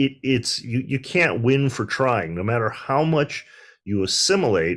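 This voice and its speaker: Pitch swings very widely in a Midwestern American accent at a fairly slow pace. The recording is very clean with a silent background. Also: man, medium pitch for a man. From US Midwest, Detroit. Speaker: panelist, civil rights scholar. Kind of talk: panel discussion.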